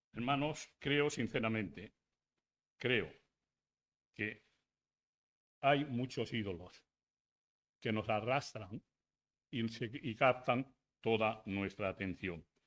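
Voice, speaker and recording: A man speaks at medium pitch with ordinary pitch variation. His pace is very slow, with long, frequent pauses. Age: 80s+. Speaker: pastor. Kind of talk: sermon. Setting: church.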